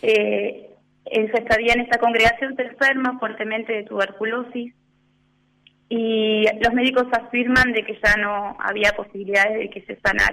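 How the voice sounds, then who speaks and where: With a fairly high pitch, a woman speaks at a fairly slow pace in a monotone, flat intonation. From Argentina, Punta Alta. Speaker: religious sister. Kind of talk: radio interview. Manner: hesitant, many fillers.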